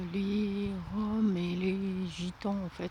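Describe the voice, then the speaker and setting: A woman speaks in a soft-spoken way. Her intonation is fairly even. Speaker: vlogger. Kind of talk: walking vlog. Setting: outdoors. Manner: halting.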